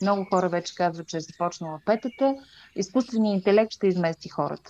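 An ordinary speaking voice from a woman, pitched in the medium range and with ordinary pitch variation. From Bulgaria, Stara Zagora. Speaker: podcast host. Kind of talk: casual interview.

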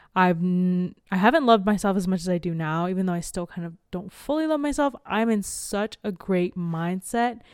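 A woman with an unremarkable speaking voice talks at a moderate pace and medium pitch on a very clean recording with a silent background. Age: 20s. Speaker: podcast co-host. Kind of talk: casual chat.

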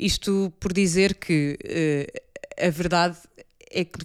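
A woman with a fairly low voice and ordinary pitch variation speaks on a very clean recording with a silent background. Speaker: podcast host. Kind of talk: casual chat.

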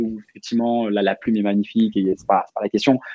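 A man is speaking. His pace is fairly quick. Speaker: rap culture project founder. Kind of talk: casual chat.

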